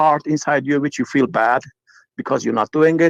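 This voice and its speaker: Fairly high-pitched and fairly quick, a man speaks with a Turkish accent and fairly even intonation. The sound is dry and close, with no echo. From Turkey. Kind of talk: call-in conversation. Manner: halting.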